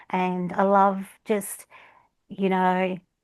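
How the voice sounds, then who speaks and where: Very slow in pace, a woman talks with an Australian accent. Her pitch is medium and the background is quiet. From Australia, Melbourne (Flemington). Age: 50s. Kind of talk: casual interview chat. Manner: hesitant, many fillers.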